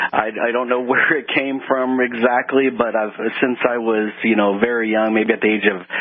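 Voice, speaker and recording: A man with an American accent speaks at a moderate pace in a monotone, flat intonation. Noticeable background noise runs beneath him. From Texas, Houston. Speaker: chemist. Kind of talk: radio interview.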